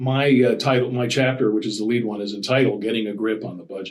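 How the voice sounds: Audible room echo surrounds the speech. The intonation stays fairly even. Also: man.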